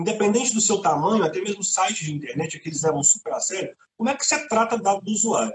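A man is speaking. His intonation is lively. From Minas Gerais, Brazil (Contagem). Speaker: IT security specialist. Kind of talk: casual chat.

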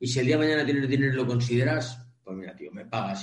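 A man with vocal fry and ordinary pitch variation, talking at a very fast pace amid audible room echo. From Spain, Cantabria. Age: 50s. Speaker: online training business founder, transport trainer. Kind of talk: interview. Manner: animated.

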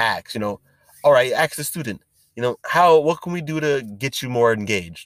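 A man speaks at a fairly quick pace with lively intonation and an enthusiastic tone, in a very clean recording with a silent background and a dry, close sound with no echo. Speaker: education podcast host. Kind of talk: solo monologue podcast. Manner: fast.

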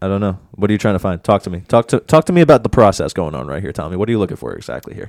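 At a very fast pace, a man with a fairly low voice and vocal fry makes very wide pitch swings, recorded very cleanly with a silent background and a dry, close sound with no echo. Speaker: sports podcast host. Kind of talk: casual sports banter. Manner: fast, casual, profane.

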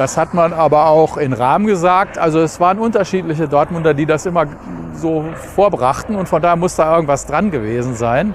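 Noticeable noise sits behind a man whose fairly high voice varies in pitch in an ordinary way. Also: fairly quick pace. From Germany, Dortmund. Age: 60s. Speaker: brewery managing director. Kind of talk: interview.

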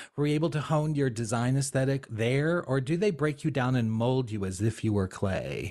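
Over a quiet background, a man with an American accent talks at a moderate pace with hardly any pauses, very even loudness and a medium pitch with ordinary variation. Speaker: podcast co-host. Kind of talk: casual chat.

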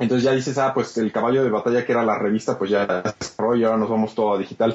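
A man speaks in a Mexican accent with fairly even intonation. Noticeable background noise runs under his voice. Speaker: video game podcast co-host. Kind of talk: casual chat.

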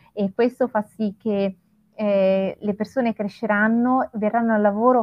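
Talking very slowly, a woman uses a fairly high pitch. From Italy, Florence. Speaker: hospitality trainer, co-host. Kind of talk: live-streamed panel discussion.

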